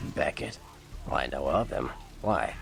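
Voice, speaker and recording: With clear noise behind him, a man uses a put-on character voice at an extremely high pitch and a moderate pace. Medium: video game. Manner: casual, slangy.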